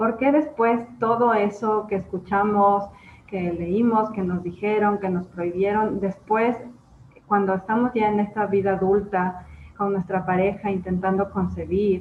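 At a fairly slow pace, a woman speaks at a medium pitch, somewhat breathy, with ordinary pitch variation. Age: 30s. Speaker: podcast host. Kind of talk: interview.

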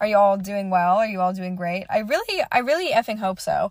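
At medium pitch with ordinary pitch variation, a woman speaks in an unremarkable speaking voice. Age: young. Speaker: solo podcaster and college student. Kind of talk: casual solo monologue. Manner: rambling, filler-heavy.

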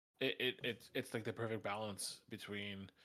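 His pace is moderate and his pitch medium. The man uses a plain, everyday voice. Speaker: podcast co-host. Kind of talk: casual chat.

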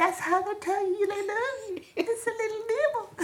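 This is a put-on character voice, squeaky and extremely high in pitch. The pace is moderate. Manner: silly.

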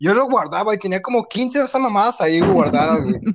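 Fairly quick speech in a Mexican accent. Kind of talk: casual chat. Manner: animated.

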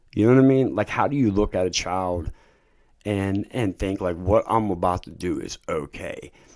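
Here a man speaks at a moderate pace in a plain, everyday voice, fairly low in pitch with ordinary pitch variation. The recording is very clean, the background silent. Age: 30s. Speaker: recovering addict sharing his story. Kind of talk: testimony.

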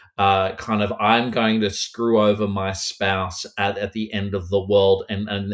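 A man with an Australian accent speaks at a moderate pace in a fairly low pitch, his intonation monotone and flat. The recording is very clean, with a silent background. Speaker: horror author. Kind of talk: casual interview chat.

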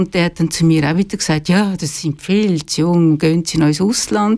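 At a moderate pace, a woman with a normal speaking voice and a fairly low pitch talks with ordinary pitch variation. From Switzerland, Zurich lake area. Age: 60s. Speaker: retired journalist and author. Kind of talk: radio interview. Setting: studio.

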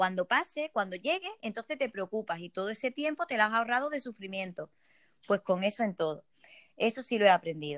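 A woman's fairly high voice moves at a fairly quick pace with very wide pitch swings, the sound dry and close with no echo. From Spain, Ceuta. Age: 30s. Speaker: network marketing entrepreneur. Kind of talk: interview.

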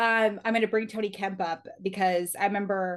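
Against a quiet background, a woman with a General American accent and a plain, everyday voice speaks at a medium pitch and moderate pace with fairly even intonation. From Reno, Nevada. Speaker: baseball reporter. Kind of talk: interview. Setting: studio.

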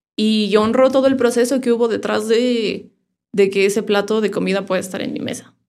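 Talking at a fairly quick pace, a woman with a fairly high-pitched voice keeps her intonation fairly even. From Mexico, Irapuato, Guanajuato. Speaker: sound therapist. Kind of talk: casual interview.

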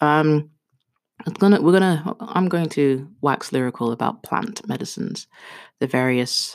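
An animated tone carries through speech delivered at a fairly slow pace. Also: woman. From Kenya. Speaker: podcast host. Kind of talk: casual monologue. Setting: home bathroom, duvet fort. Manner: animated, laughing.

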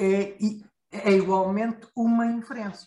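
Speaking very slowly, a man uses a high-pitched voice with lively intonation. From Portugal. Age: 50s. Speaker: IT security expert. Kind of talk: casual discussion. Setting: video call.

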